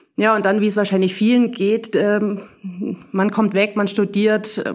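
A woman's medium-pitched voice, monotone and flat in intonation, proceeds at a fairly slow pace. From Bavarian Swabia, Burgau. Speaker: tennis club volunteer leader. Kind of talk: casual interview.

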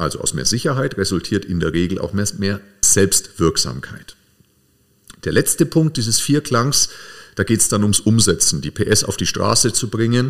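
A man's unremarkable speaking voice, fairly low in pitch, with lively intonation at a moderate pace. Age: 40s. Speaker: podcast host, coach. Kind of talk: casual chat.

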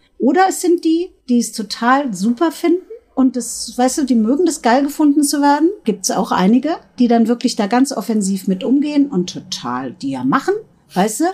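Her voice swings very widely in pitch, somewhat breathy, with a dark, mellow tone. The woman keeps a moderate pace. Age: 50s. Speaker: sex shop owner. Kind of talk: casual chat. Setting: in a shop.

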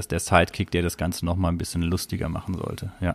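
A man's very deep, low voice in monotone, flat intonation at a fairly quick pace. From southern Germany. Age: 30s. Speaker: podcast host. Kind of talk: casual chat. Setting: remote call.

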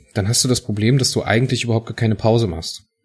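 Somewhat breathy, a man speaks in a fairly low pitch with fairly even intonation. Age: 30s. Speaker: podcast host. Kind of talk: casual chat.

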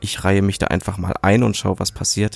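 A man talks with a fairly low pitch. The sound is dry and close, with no echo. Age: 30s. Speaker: podcaster, media designer. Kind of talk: casual monologue. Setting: home recording. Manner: hesitant, many fillers.

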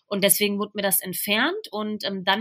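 A woman talks at a medium pitch in a bright, sharp tone. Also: very clean recording, silent background. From Ruhr area, Germany (Bochum). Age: 20s. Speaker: trainee teacher, breast cancer survivor. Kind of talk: interview, personal illness story.

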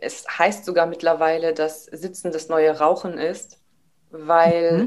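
This woman's voice is fairly low. She talks very slowly. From Germany, Karlsruhe (Baden). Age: 30s. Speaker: taekwondo trainer. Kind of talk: casual interview. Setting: video call.

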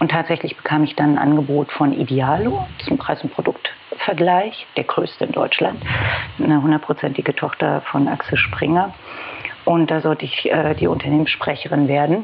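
A woman with a very deep, low voice talks at a moderate pace, with noticeable background noise around her. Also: ordinary pitch variation, very even loudness. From Berlin. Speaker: head of press and public relations. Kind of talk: casual interview chat.

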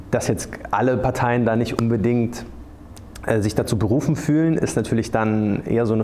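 Audible room echo and noticeable background noise surround a man's voice. He speaks at a moderate pace with very even loudness. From Munich, Bavaria. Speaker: journalist. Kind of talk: panel discussion before live audience. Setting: theatre stage with audience.

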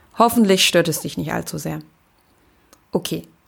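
A woman talks with vocal fry. The recording is very clean, with a silent background. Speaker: podcast host. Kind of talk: personal storytelling monologue.

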